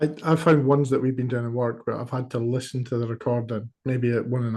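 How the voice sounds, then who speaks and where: With a strong Scottish accent, a man of medium pitch talks at a fairly quick pace in a monotone, flat delivery that is somewhat breathy. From Scotland. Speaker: working group member. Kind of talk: online work meeting.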